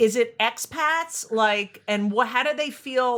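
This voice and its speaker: In a New Jersey accent, a woman speaks at a very slow pace with a bright, sharp tone and lively intonation, on a very clean recording with a silent background. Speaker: podcast host, comedian. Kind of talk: casual interview chat.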